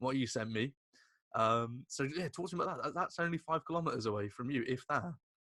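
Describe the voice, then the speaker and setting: On a very clean recording with a silent background and a dry, close sound with no echo, a man with a British accent talks very fast in a fairly high, bright, sharp voice with ordinary pitch variation. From Britain. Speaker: podcast host. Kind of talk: interview.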